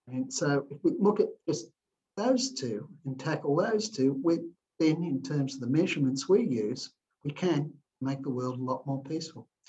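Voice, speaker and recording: A man with an Australian accent speaks at a moderate pace in a fairly high, somewhat breathy voice. His intonation is lively. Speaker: philanthropist and entrepreneur. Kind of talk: interview answers.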